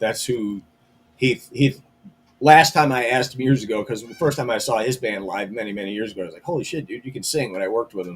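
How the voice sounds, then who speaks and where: Speaking very fast, a man with a medium pitch sounds somewhat breathy, his loudness swinging widely while his pitch varies in an ordinary way. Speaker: metal band member. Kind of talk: casual chat.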